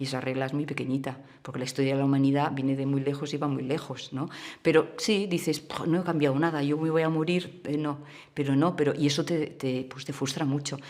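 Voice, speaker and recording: With a Catalan accent, a woman speaks fairly quickly in a very deep, low voice with fairly even intonation. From Catalonia, Spain (small town near Barcelona). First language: Catalan (speaking Spanish). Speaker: communist party activist. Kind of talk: documentary interview. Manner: halting, with many false starts.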